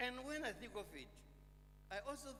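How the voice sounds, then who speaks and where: Speech at a moderate pace carries audible echo from the room. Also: man. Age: 80s+. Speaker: sculptor and poet. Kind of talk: memorial lecture speech. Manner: halting, many fillers.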